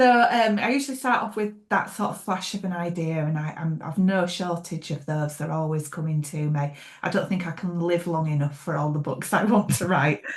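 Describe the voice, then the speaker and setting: With a Yorkshire accent, a woman talks at a fairly quick pace in a somewhat breathy, fairly low voice with lively intonation. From Yorkshire, England (York). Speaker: thriller author. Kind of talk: interview.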